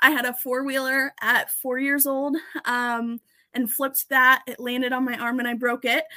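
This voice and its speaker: A woman's raised, projected voice with a Midwestern accent, high-pitched, bright and sharp in tone, monotone and flat in intonation, at a moderate pace. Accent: general American Midwestern. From US Midwest. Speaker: race car driver and team owner. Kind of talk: casual interview chat. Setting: live online show.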